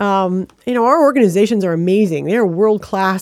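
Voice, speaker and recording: A woman talks with an American accent at a moderate pace. Her pitch varies in an ordinary way. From Michigan (Flint). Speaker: arts council leader. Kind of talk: interview. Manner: hesitant, many fillers.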